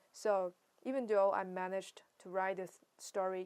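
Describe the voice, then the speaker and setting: With a Chinese accent, a woman speaks at a fairly slow pace and a medium pitch. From China. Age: 20s. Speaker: writer and vlogger. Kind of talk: casual monologue vlog. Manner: halting, many fillers and restarts.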